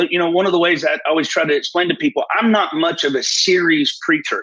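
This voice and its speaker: With a Southern US accent, a man talks in a high voice with ordinary pitch variation. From US South, northeast Alabama. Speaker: prophet.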